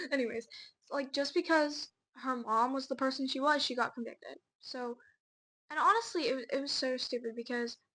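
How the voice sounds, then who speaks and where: In a raised, projected voice, a woman speaks at a fairly quick pace with a high pitch and a bright, sharp tone. Her pitch varies normally, broken by long, frequent pauses. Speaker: podcast co-host. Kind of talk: casual chat. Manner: fast.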